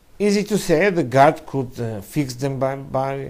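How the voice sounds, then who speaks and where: Audible room echo surrounds a man speaking at a medium pitch with lively intonation. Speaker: rabbi teaching Kabbalah. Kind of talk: lecture. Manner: halting.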